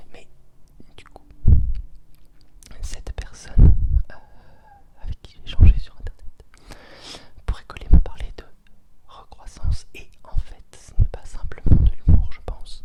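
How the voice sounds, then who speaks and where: Whispering at a fairly slow pace, a man leaves long, frequent pauses, his loudness swinging widely over noticeable background noise. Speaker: ASMR creator. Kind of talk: ASMR whispered reflections. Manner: whispered.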